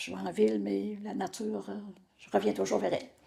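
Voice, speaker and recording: A woman's dark, mellow voice carries vocal fry and very wide pitch swings. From Quebec, Portneuf region. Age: 70s. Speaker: retired insurance broker. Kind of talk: interview. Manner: hesitant, many fillers.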